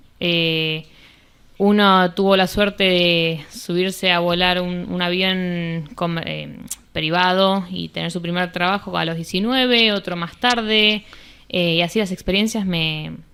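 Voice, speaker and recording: This woman has a bright, sharp tone at a medium pitch. She speaks fairly slowly with fairly even intonation. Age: 20s. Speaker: commercial pilot. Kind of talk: interview. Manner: halting, many fillers.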